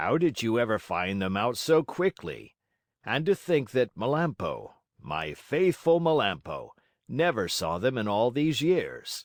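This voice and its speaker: Raspy, put-on character voice from a man, fairly high in pitch and fairly slow in pace, in a very clean recording with a silent background. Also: dry, close sound with no echo. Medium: read story. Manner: hearty.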